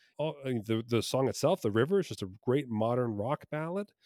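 In a very clean recording with a silent background and a dry, close sound with no echo, a man with an American accent uses very wide pitch swings. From New Jersey, US. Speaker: comedy magician and improviser. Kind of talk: casual interview chat.

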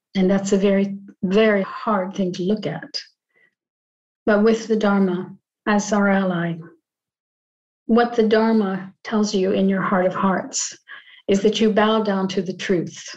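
A woman at medium pitch speaks in a calm tone, somewhat breathy and monotone, at a fairly slow pace with long, frequent pauses. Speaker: podcast host and group facilitator. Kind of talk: guided group discussion on Zoom, reflective talk. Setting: video call. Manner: reflective, calm, thoughtful.

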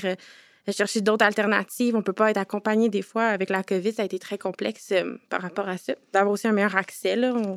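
In a Quebec accent, a woman speaks at a fairly quick pace with a medium pitch and flat, monotone intonation. The recording is very clean, dry and close, with a silent background and no echo. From Quebec, Montreal. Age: 20s. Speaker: youth participant, community organization founder. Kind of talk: round-table discussion. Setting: conference room with audience of youths.

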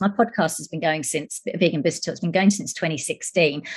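A somewhat breathy woman at a very fast pace. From UK. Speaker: journalist and podcaster. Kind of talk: podcast panel discussion.

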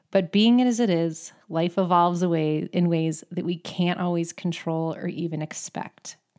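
A woman in an ordinary speaking voice, fairly low in pitch, with fairly even intonation, a moderate pace and hardly any pauses, very cleanly recorded over a silent background. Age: 40s. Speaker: podcast host and amateur athlete. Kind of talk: solo monologue.

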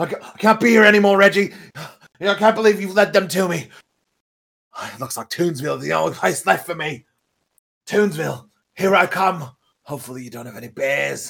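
Talking at a fairly quick pace and a high pitch, a man uses lively intonation, big swings in loudness and long, frequent pauses. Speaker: player in the game. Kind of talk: casual chat, tabletop roleplaying game session. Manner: playful, joking.

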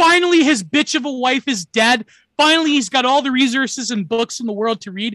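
Projected and raised, the voice carries a Canadian accent, a bright, sharp tone and lively intonation at a fairly quick pace, recorded dry and close with no echo against a quiet background. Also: man, extremely high pitch for a man. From Canada. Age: 20s. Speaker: stream co-host. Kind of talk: casual chat.

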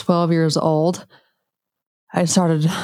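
Speaking very slowly with an American accent, the voice has a dark, mellow tone. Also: woman. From US, Utah (rural central Utah). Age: 30s. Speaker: functional medicine practitioner and podcast host. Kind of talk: personal monologue. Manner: animated.

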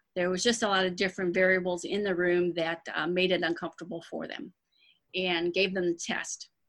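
A woman with a plain, everyday voice and an American accent speaks at a fairly quick pace and medium pitch, her intonation fairly even, in a very clean recording with a silent background. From Michigan, Dearborn Heights near Detroit. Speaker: essential oils seller, retired dental worker. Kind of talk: interview.

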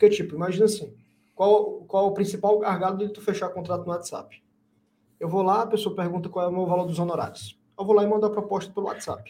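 A man talks at a very fast pace with a high pitch. His tone is dark and mellow, his intonation monotone and flat. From Brazil, Fortaleza, Ceará. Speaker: lawyer and marketing agency founder. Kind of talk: casual interview.

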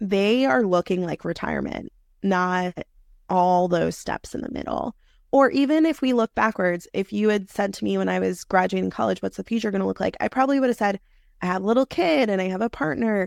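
Talking at a fairly quick pace, a woman with an American accent and medium pitch has an ordinary speaking voice and lively intonation, captured dry and close with no echo in a very clean recording with a silent background. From New York City. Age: 30s. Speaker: career coach. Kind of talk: interview.

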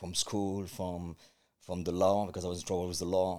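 A man speaks with a very deep, low pitch and a dark, mellow tone at a fairly quick pace. The recording is very clean, the background silent. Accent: French. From France. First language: French. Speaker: martial arts coach and life coach. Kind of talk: interview conversation.

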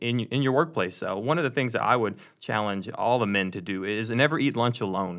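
At a moderate pace and with ordinary pitch variation, the speaker uses a plain, everyday voice with an American accent. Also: man. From Texas, Dallas area. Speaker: pastor. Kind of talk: casual podcast discussion. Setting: studio.

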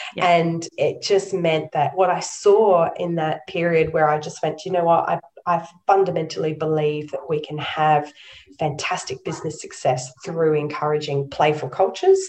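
Her intonation stays fairly even. The speaker is a woman with an Australian accent. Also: fairly low pitch for a woman, moderate pace. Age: 40s. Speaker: nonprofit chief executive. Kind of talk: interview.

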